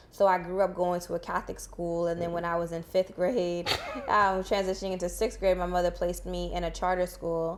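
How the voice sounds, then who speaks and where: A woman's fairly low, monotone, flat delivery with an American accent, fairly quick, over noticeable background noise. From Boston, Haitian family. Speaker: guest on a podcast. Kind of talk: casual interview.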